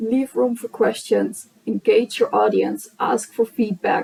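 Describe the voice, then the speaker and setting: Recorded with a dry, close sound and no echo, a woman speaks at a very slow pace. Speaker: speaker and blogger. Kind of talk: conference talk. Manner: slower pace.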